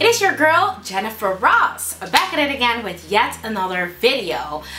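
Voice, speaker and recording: The pace is moderate, and light background noise runs beneath it. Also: woman. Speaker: beauty vlogger. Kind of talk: casual vlog chat. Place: home room.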